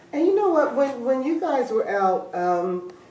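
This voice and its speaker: A woman with an American accent, lively intonation and a moderate pace, plus audible room echo and noticeable background noise. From US Northeast, West Philadelphia. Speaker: talk show host. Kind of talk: interview. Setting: in the guest's home.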